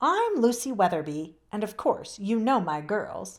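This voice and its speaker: In a put-on character voice, a woman speaks at a moderate pace with a fairly high pitch. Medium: read story. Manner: warm, gracious.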